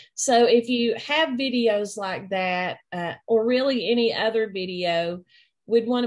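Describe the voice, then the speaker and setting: The speaker has a strong East Tennessee accent and talks at a very slow pace. Pitch variation is ordinary, and the background is quiet. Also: woman. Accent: thick East Tennessee. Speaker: instructional technology trainer. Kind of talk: online training session.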